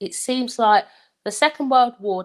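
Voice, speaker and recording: A woman speaks with a Luton accent. The recording is very clean, with a silent background. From England, Luton. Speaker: life coach. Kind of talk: live talk. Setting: livestream.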